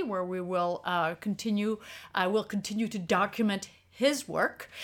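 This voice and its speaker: A woman speaks in a French accent at a fairly slow pace, her voice medium in pitch with ordinary pitch variation. The recording is very clean, with a silent background. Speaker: street photographer and workshop leader. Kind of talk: casual interview chat.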